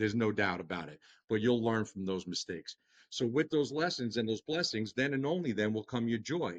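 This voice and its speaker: Here a man speaks with a Long Island accent at medium pitch and a fairly quick pace. His intonation is lively, and the sound is dry and close with no echo. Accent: Long Island New York. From Long Island, New York. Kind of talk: podcast interview. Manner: animated, talks with hands.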